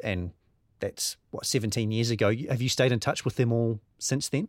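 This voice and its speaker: Very clean, with a silent background and a dry, close sound with no echo, the recording captures a man speaking. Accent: New Zealand. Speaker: podcast host. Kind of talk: interview.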